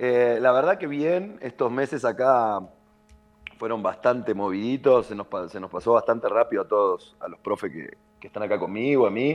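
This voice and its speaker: A man speaks at a moderate pace and medium pitch with lively intonation, in a plain, everyday voice. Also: big swings in loudness. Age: 30s. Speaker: padel coach. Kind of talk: casual interview.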